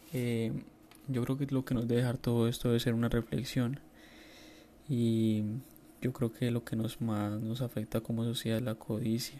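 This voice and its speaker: A man's medium-pitched voice, dark and mellow, in a monotone, flat delivery at a moderate pace, with very even loudness and long, frequent pauses. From Colombia. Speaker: listener sending voice message. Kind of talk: recorded voice message.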